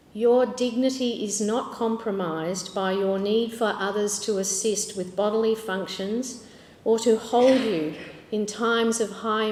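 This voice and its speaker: Noticeable background noise accompanies a woman speaking at a fairly slow pace, fairly high in pitch, with fairly even intonation. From Australia. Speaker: social work professor. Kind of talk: conference presentation.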